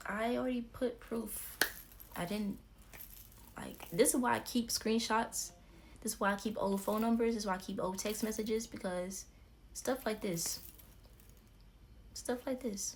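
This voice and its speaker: Speaking at a moderate pace with vocal fry, a woman uses a fairly high pitch and fairly even intonation, leaving long, frequent pauses. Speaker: YouTuber. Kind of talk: storytime vlog.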